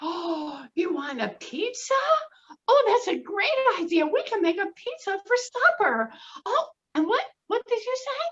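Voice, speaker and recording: Putting on a squeaky character voice, a woman speaks at an extremely high pitch and a moderate pace, her pitch swinging very widely between long, frequent pauses. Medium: read story. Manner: warm, lively.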